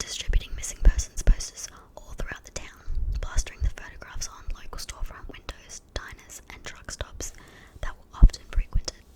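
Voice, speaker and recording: Through noticeable background noise, a woman whispers at a moderate pace. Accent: New Zealand. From New Zealand. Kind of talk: ASMR true crime narration. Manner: whispered.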